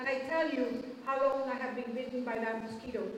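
A woman speaks in a high pitch with monotone, flat intonation, against audible room echo and light background noise. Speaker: presenter. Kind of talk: public speech. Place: hall.

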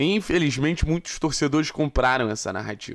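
The pitch varies in an ordinary way over a quiet background. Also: man. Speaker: sports journalist and YouTube commentator. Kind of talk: angry rant / opinion commentary. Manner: indignant, emphatic, pleading; repetitive, insistent, accusatory. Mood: critical, indignant. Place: home room. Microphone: studio mic.

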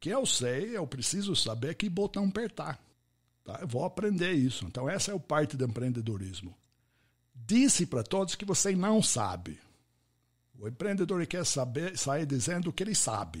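Speaking with an English accent, a man with a fairly high pitch makes very wide pitch swings. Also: moderate pace. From US, Pittsburgh. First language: English (speaking Portuguese). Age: 70s. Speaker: podcast host and networking expert. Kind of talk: interview conversation.

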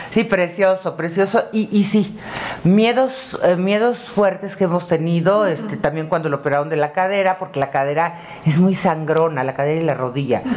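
A woman's fairly low voice moves at a moderate pace with lively intonation. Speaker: guest, actor's wife; interview guest. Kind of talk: casual interview chat. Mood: warm, affectionate recollection. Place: home room.

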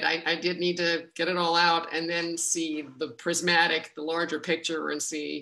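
Against a quiet background, a woman speaks at a fairly slow pace in a fairly low voice with a bright, sharp tone. Her intonation stays fairly even. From Latin America, USA, North Africa. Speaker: actor and audiobook narrator. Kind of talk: audience Q&A answer. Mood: warm, reflective. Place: home room. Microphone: video call.

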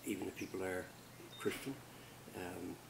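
This man's pitch is very deep and low. Noticeable background noise sits behind him. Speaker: culture educator. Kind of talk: informal lecture. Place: garden. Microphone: camera far.

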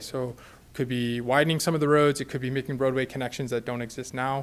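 Against a very clean recording with a silent background, a man talks at a very fast pace at a medium pitch. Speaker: urban planning consultant. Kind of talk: presentation to city council.

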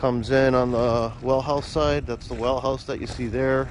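Light background noise sits behind a man speaking at a moderate pace in a monotone, flat voice, with a dry sound and no echo. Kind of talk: casual vlog chat. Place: open country. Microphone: phone near.

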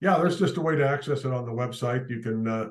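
Fast male speech in an American accent, medium in pitch, with ordinary pitch variation

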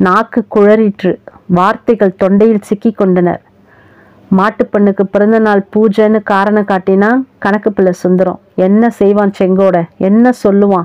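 A woman's medium-pitched voice, monotone and flat in intonation, at a very even loudness. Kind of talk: short story narration.

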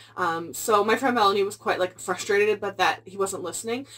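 The speaker is a woman. Her pitch shows ordinary variation. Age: 20s. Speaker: booktuber. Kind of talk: book review vlog. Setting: at home, filming video. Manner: fast. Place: home room. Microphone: phone near.

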